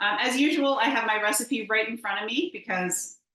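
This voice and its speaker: Loud and fairly quick, a woman speaks in an upbeat, enthusiastic tone. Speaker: home economist cooking presenter. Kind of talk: cooking demonstration webinar. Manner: loud, projecting voice. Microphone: no earbuds, may echo.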